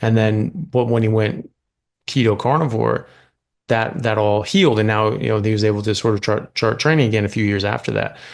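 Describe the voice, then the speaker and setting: A man talks in a plain, everyday voice at a medium pitch with ordinary pitch variation. His pace is fairly quick, and the background is quiet. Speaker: medical doctor, podcast host. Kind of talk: podcast interview talk.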